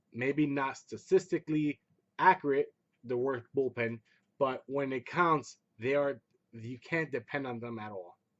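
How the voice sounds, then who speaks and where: A man's fairly high voice with ordinary pitch variation. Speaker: sports fan vlogger. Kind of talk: casual recap commentary. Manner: subdued, not loud.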